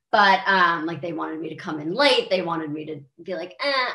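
Over a quiet background with audible room echo, a woman with an American accent speaks at a moderate pace. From US, Maryland. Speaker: country singer. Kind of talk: casual interview. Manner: animated. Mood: warm, animated. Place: home room. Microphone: webcam.

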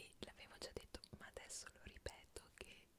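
A woman is speaking. She is whispering. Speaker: ASMR creator. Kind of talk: ASMR whispered trivia for sleep. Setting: home studio. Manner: whispered, soft-spoken. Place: home room.

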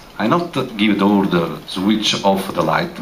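Light background noise sits under a man's lively intonation. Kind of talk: public address to audience. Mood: serious, explanatory. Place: hall. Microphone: pa.

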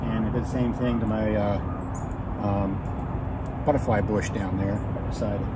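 Loud background noise surrounds a man as he talks. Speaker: homesteader vlogger. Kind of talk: casual vlog chat. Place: garden.

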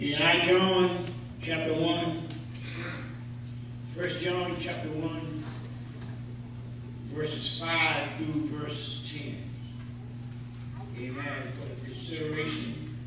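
Amid strong room echo and noticeable background noise, a man talks at a very slow pace with long, frequent pauses and ordinary pitch variation. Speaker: assistant pastor. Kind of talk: sermon. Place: church.

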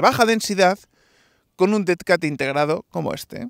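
Recorded dry with no echo over a quiet background, a man speaks at a moderate pace with ordinary pitch variation. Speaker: tech product reviewer. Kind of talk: product review tutorial. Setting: outdoors, walking on stone ground. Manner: talking loudly. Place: open country.

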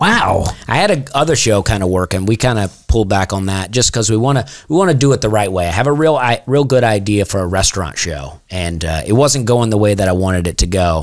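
A man with an American accent talks at a very fast pace in a fairly low pitch. The background is quiet. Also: lively intonation. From US South. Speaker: comedian. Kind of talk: casual chat. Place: studio. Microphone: studio mic.

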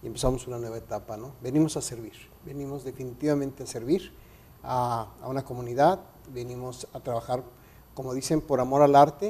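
This man has a Mexican accent and a dark, mellow, somewhat breathy tone. He speaks at a fairly quick pace with ordinary pitch variation and big swings in loudness. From Mexico City. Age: 50s. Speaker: radio announcer and photographer; radio announcer. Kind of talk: interview. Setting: studio. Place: studio. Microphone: lapel.

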